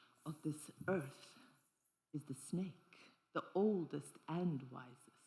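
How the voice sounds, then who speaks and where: At a very slow pace, a woman talks in a somewhat breathy voice with lively intonation. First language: not English; grew up with three languages. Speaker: dancer and performance artist. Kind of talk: solo stage performance with audience interaction. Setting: stage with audience. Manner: animated.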